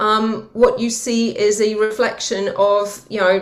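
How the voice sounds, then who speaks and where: A woman speaks with a Welsh accent at a very slow pace. Her pitch is fairly high. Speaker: green finance executive. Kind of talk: interview conversation.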